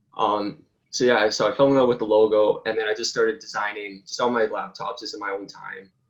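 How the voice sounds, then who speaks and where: This man has an unremarkable speaking voice at medium pitch. He talks at a moderate pace with fairly even intonation. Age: 20s. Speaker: college student and apparel business founder. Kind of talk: interview.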